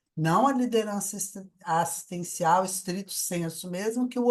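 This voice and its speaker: A woman is speaking. Her pitch swings very widely. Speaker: conscientiology researcher presenting her work. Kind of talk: online debate, personal testimony.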